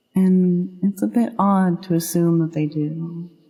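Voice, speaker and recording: Very slow, fairly evenly intoned speech with music in the background. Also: woman. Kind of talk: ASMR affirmations stream, gentle talk to the listener. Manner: soft, reassuring.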